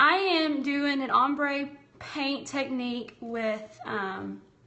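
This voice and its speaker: A woman's high-pitched voice carries audible room echo. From US South. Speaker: craft and bible journaling livestreamer. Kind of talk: live-streamed craft tutorial with chat. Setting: livestream from home. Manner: casual, chatty.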